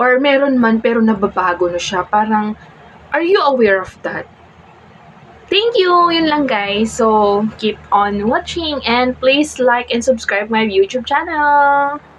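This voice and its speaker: A woman with a high pitch at a fairly slow pace, over noticeable background noise. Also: lively intonation. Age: 20s. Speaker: vlogger. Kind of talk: casual vlog monologue. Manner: halting.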